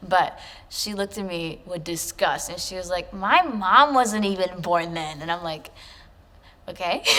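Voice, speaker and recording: A woman's ordinary speaking voice, medium-pitched, with an American accent, at a moderate pace. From US, Chicago. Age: 20s. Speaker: poet. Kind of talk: interview. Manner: casual, filler-heavy.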